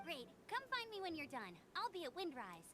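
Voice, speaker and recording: A woman speaks in a put-on character voice with an extremely high pitch and very wide pitch swings. Her pace is moderate, and background noise is clearly heard. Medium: video game.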